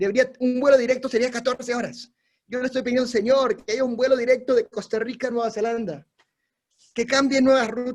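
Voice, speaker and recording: This man has an extremely high pitch. He speaks with a Latin American accent. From Peru. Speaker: missionary preacher. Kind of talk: sermon. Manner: exhortative, animated.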